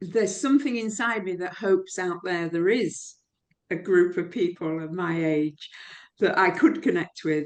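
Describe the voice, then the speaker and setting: A woman with medium pitch talks at a moderate pace with ordinary pitch variation, in an ordinary speaking voice. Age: 60s. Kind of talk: interview answer.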